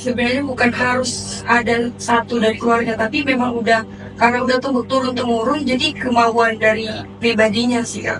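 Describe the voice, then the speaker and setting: A woman speaks at a fairly quick pace in a fairly high, flat monotone. Noticeable background noise and audible room echo surround her voice. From North Sumatra, Medan (Batak). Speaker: law student and TikToker. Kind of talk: casual interview chat.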